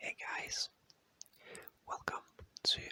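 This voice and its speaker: Someone whispers at a fairly slow pace. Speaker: ASMR creator. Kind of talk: whispered ASMR fact reading. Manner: whispering; slow, soothing.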